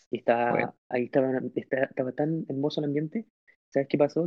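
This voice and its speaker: Speaking at a very fast pace, this man has a fairly high voice. His pitch varies in an ordinary way. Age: 30s. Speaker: church youth leader. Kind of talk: testimony.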